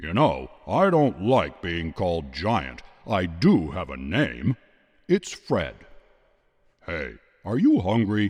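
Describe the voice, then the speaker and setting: This man's booming, very deep, low voice is a put-on character voice, delivered at a fairly slow pace. Long, frequent pauses break it up against a quiet background. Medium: read story.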